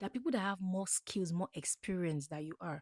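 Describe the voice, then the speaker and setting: In a very clean recording with a silent background and a dry, close sound with no echo, a woman with an African accent talks in an animated tone at a fairly quick pace and a medium pitch. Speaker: podcast host, motivational speaker. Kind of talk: motivational talk.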